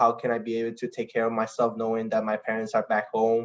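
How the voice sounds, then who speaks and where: A man with a Spanish accent at a fairly quick pace against a quiet background. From Costa Rica. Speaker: international student athlete. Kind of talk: online info session talk. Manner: halting, with frequent restarts.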